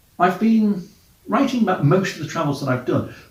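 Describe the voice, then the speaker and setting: A man talks very fast, with audible room echo around his voice. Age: middle-aged. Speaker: travel podcaster and blogger. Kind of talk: casual monologue.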